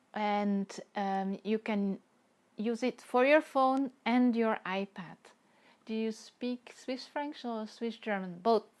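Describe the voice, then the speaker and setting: A woman speaks very slowly with a Dutch accent, her fairly high voice showing ordinary pitch variation on a very clean recording with a silent background. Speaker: watercolor artist. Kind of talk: live stream chat while painting. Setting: live stream.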